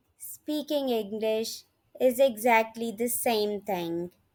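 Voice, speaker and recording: A woman's very slow, lively-intoned speech in a very clean recording with a silent background. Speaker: English teacher, online language tutor. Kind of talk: casual talk to camera, lesson introduction.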